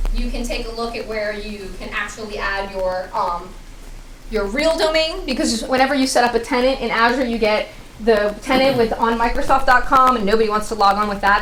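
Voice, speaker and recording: A woman's very fast speech at a fairly high pitch with ordinary variation, amid audible room echo and noticeable background noise. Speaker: tech presenter. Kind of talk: tech talk with demo.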